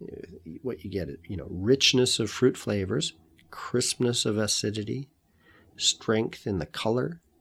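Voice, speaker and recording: A man's plain, everyday voice, fairly low in pitch, with a Canadian accent, in a very clean recording with a silent background. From Canada. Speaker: wine podcast host. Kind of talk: solo podcast monologue.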